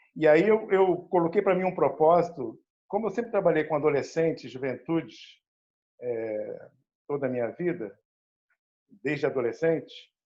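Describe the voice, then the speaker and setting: A man's high, dark and mellow voice at a moderate pace, with lively intonation and long, frequent pauses. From Rio de Janeiro state, Brazil (Baixada Fluminense). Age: 60s. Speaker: educator and cultural producer. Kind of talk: panel discussion talk. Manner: halting, many fillers.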